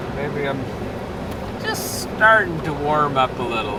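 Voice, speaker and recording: Through audible room echo and noticeable background noise, a man talks at a fairly high pitch. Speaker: livestreamer doing farm chores. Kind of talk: casual live stream chat.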